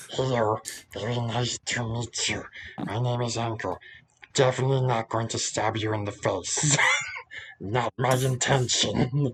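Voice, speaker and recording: Using a put-on character voice, a man speaks at medium pitch and a moderate pace. Long, frequent pauses break up his speech. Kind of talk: fantasy tabletop character voice. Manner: sly, falsely polite, menacing.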